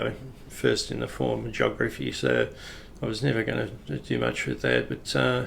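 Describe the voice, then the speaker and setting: This man has an Australian accent and a fairly slow pace. His pitch swings very widely. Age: 60s. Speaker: retired police officer. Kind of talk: personal storytelling. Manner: casual, hesitant with fillers.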